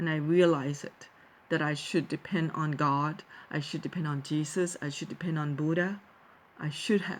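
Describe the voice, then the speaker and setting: A woman with a very deep, low voice and a Thai accent speaks at a moderate pace with fairly even intonation. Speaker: vlogger, teacher. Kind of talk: personal talk to viewers. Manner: halting, many fillers and restarts.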